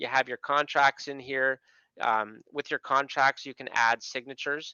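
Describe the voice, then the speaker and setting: This man has a Canadian accent. He speaks at a moderate pace with fairly even intonation. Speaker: software product specialist. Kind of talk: webinar screen-share tutorial. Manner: casual, conversational with fillers.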